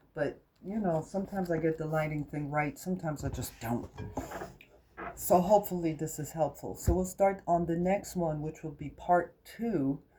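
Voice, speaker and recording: Noticeable background noise sits under the voice. The speaker has an American accent and ordinary pitch variation. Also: woman, fairly low pitch for a woman, moderate pace. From United States. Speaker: crafts vlogger. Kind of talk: casual tutorial. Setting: home kitchenette. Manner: unscripted, chatty.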